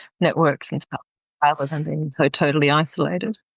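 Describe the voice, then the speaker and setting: A woman with an Australian accent. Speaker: business psychologist and executive coach. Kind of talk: interview conversation.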